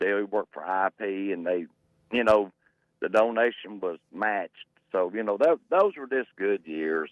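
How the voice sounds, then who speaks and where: A fairly low-pitched man with an Arkansas accent. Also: ordinary pitch variation, moderate pace. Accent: southern US (Arkansas). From Arkansas, Pine Bluff. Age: 60s. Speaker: caller. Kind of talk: call-in radio chat.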